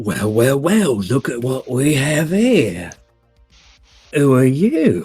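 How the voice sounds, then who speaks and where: In a put-on character voice, a man at medium pitch sounds robotic, with very wide pitch swings. He speaks very slowly with long, frequent pauses, and faint music plays in the background. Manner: menacing, confrontational.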